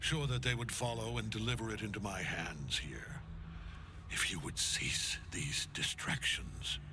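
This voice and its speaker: Over loud background noise, a man uses a put-on character voice at a fairly low pitch and a moderate pace. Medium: video game. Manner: cold, authoritative.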